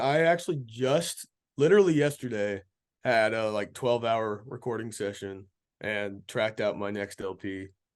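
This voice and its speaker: At a moderate pace and medium pitch, a man with an American accent speaks with ordinary pitch variation against a quiet background. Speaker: country blues and folk singer-songwriter. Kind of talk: casual interview chat.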